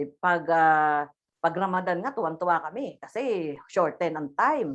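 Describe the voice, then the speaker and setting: A woman with a fairly low pitch speaks fairly slowly, her intonation lively. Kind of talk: religious talk. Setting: video call. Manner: loud; halting.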